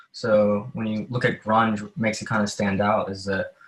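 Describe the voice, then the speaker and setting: A man with a fairly low pitch speaks in fairly even intonation while music plays in the background. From US South. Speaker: folk country singer-songwriter. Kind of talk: casual chat.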